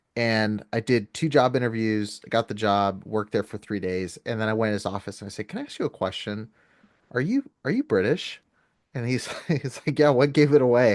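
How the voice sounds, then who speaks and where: The speech moves at a fairly quick pace with ordinary pitch variation, in a dry, close sound with no echo and a quiet background. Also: man, medium pitch for a man. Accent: Californian. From California. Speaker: podcast host, former fundamentalist Baptist. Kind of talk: casual chat.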